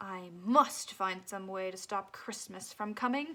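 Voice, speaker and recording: A woman puts on a growling character voice at a medium pitch. She talks at a fairly slow pace. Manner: growling, snarling, scheming.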